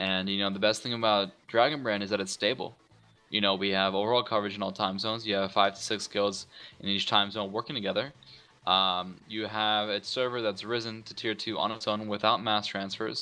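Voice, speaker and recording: A man's fairly low voice, fairly quick and monotone, with flat intonation and music in the background. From Iranian heritage. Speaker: online gaming guild leader. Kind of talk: casual interview.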